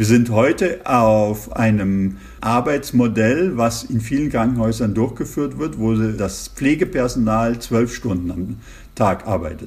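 His pace is very slow as a man talks. His voice sits at a medium pitch and shows ordinary pitch variation. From Germany. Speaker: intensive care physician. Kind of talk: interview. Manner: hesitant, many fillers.

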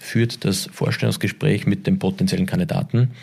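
This man's voice has a dark, mellow tone and vocal fry. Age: 40s. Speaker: retail executive. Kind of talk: interview. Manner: halting.

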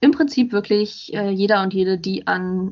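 An unremarkable speaking voice from a woman at medium pitch and a fairly slow pace. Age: 20s. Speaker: self-help group member and blogger. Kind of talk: casual interview chat.

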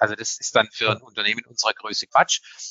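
A man talks at a very fast pace. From Swabia, southwestern Germany. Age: 50s. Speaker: public relations head. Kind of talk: panel discussion. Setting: live conference.

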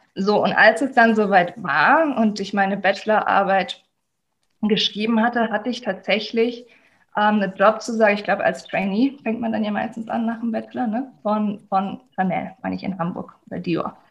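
A woman speaks in a fairly high voice. Her tone is somewhat breathy. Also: ordinary pitch variation, moderate pace. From Germany. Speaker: life coach. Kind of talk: interview.

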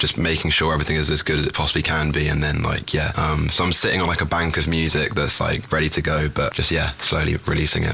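With a London accent, a man talks fairly quickly in a very deep, low voice, his intonation flat and monotone over noticeable background noise. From London, England. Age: 20s. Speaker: singer-songwriter. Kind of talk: interview. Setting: studio. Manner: hesitant, filler-heavy.

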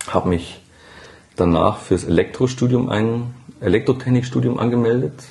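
A man speaks at medium pitch and a moderate pace, with ordinary pitch variation. His voice is somewhat breathy, and he leaves long, frequent pauses. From Upper Bavaria, Germany. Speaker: emergency department nurse. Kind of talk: interview conversation. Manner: hesitant with many fillers.

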